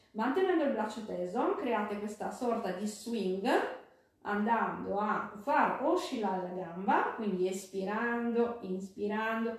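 Through strong room echo, a woman with a warm tone and fairly high pitch speaks at a very slow pace with ordinary pitch variation. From Italy. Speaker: fitness instructor. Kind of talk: live-streamed fitness class, giving rhythmic exercise cues and counting reps. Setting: live video stream from home. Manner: brisk, rhythmic, coaching cadence with breath cues; warm and encouraging. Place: home room. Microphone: camera far.

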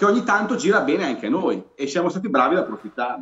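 Against a quiet background with audible room echo, a man's pitch swings very widely. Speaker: guest football fan commentator. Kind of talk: commentary. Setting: video call. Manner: excited, enthusiastic. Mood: pleased, upbeat about the win. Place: home room. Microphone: video call.

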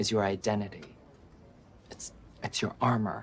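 Light background noise sits under speech delivered at a moderate pace. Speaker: actor. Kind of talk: TV drama scene. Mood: assertive, confrontational. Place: office.

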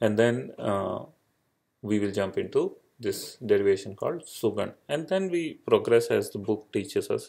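A man with an Indian accent at a moderate pace, on a very clean recording with a silent background. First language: Indian language. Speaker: Sanskrit grammar teacher. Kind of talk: lecture. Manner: halting with many fillers.

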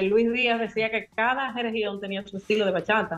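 With a Dominican accent, a woman talks at a fairly high pitch using fairly even intonation. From Dominican Republic. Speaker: musicologist. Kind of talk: casual radio interview. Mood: engaged, explanatory. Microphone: video call.

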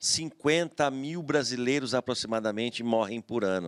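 Against a quiet background, the voice moves at a very slow pace with ordinary pitch variation. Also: man. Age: 50s. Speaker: retired federal highway police officer and former city councillor; interview guest. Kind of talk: TV interview. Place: studio. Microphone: studio mic.

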